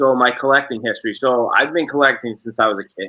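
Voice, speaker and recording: A man speaks with a Boston accent and ordinary pitch variation. His tone is bright and sharp. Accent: thick Boston. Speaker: sports card collector. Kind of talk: interview.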